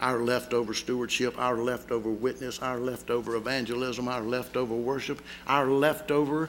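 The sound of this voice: Fairly even intonation from an unforced reading voice.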